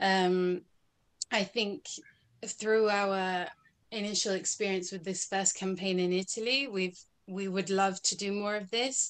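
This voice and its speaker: A woman with a Scottish accent speaks at a medium pitch and a fairly slow pace, with fairly even intonation and long, frequent pauses. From Scotland. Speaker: activist; interview guest. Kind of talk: interview. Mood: earnest, engaged. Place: home room. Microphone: video call.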